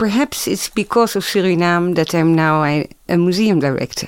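In a Dutch accent, a woman speaks at a fairly low pitch with ordinary pitch variation. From Netherlands. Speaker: museum director and anthropologist. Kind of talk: panel discussion.

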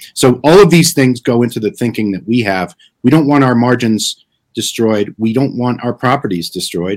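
Using lively intonation, a man with an American accent and an unremarkable speaking voice talks at a moderate pace and medium pitch. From New Jersey (Clifton). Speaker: author and impact investment strategist. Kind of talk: live stream interview.

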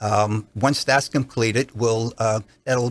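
A man with a New Jersey accent talks at a moderate pace in a somewhat breathy voice, his intonation flat and monotone. The recording is very clean with a silent background. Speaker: doctor. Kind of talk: casual interview. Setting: studio.

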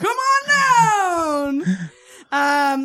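High in pitch, the voice is a put-on character one. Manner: excited, booming.

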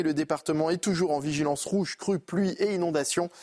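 A man speaks in an ordinary speaking voice at a moderate pace with ordinary pitch variation, recorded with a dry, close sound and no echo. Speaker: news presenter. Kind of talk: news reading. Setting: studio.

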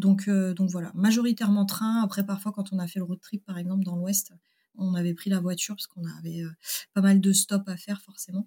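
A somewhat breathy woman speaks at a fairly quick pace and medium pitch, in monotone, flat intonation. Her tone is dark and mellow, with a dry, close sound and no echo. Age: 30s. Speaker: engineer and company founder. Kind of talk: casual interview.

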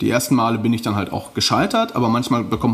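Over noticeable background noise, a man talks very fast at a medium pitch. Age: 30s. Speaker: pulp fiction author. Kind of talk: interview.

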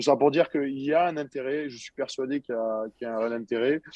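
The man keeps a medium pitch, ordinary pitch variation and a moderate pace. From southern France, Montpellier. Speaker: professional rugby player. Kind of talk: interview.

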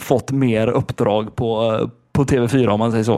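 A man's voice carries a dark, mellow tone. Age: 20s. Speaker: podcast co-host. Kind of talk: casual chat.

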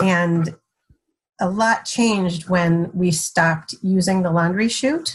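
The voice is somewhat breathy and very slow. Its loudness stays very even, and its intonation is fairly even. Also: woman, medium pitch for a woman. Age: 50s. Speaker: mother of seven. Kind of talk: casual chat.

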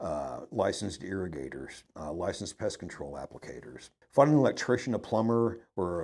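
Quick-paced, a man talks with vocal fry and a dark, mellow tone. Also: very clean recording, silent background. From Ohio, then Dallas, Texas. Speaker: retired business owner. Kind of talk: casual interview chat.

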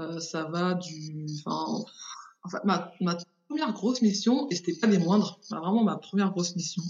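The speech moves at a moderate pace. Its pitch shows ordinary variation. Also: woman, fairly low pitch for a woman. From Paris region, France (born in Haiti). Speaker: illustrator and web agency founder. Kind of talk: interview. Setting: remote recording. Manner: animated, laughing often.

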